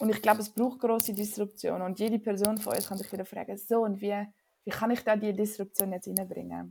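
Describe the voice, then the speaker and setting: A woman's very fast, monotone delivery at medium pitch, flat in intonation and dark and mellow in tone. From Switzerland, Winterthur. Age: 20s. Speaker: physician and climate activist. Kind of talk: interview conversation.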